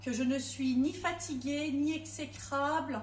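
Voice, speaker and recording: Audible room echo surrounds a woman's high voice. She speaks at a very slow pace. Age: 40s. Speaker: home cook and product seller. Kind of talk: testimony. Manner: hesitant.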